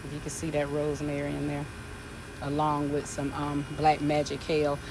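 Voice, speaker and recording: In a room with audible echo and noticeable background noise, a woman speaks at a fairly quick pace with a very deep, low pitch. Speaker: gardening vlogger. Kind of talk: casual garden tour vlog. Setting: outdoors in garden.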